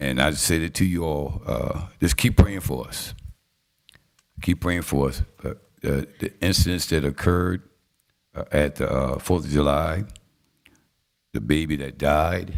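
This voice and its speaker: In a Southern US accent, a man with a very deep, low pitch and vocal fry speaks at a fairly slow pace, with ordinary pitch variation and long, frequent pauses. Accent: US South. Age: 60s. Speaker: city council presiding official. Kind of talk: council meeting remarks. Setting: city council chambers.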